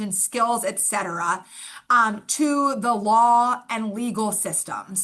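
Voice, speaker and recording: A woman talks in a fairly high pitch with ordinary pitch variation and a bright, sharp tone. The background is quiet. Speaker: forensic social worker, guest lecturer. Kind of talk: lecture. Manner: informal, filler-heavy.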